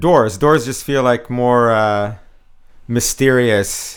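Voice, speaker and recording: Over a silent background in a very clean recording, a man with a Canadian accent speaks fairly slowly at a medium pitch with fairly even intonation. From Canada. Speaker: marketing insights agency founder. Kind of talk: podcast interview. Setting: bar venue, in person. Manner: halting, many fillers and repetitions.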